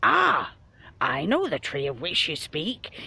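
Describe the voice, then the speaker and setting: Fairly slow pace in a put-on character voice, pitched in the middle. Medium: read story.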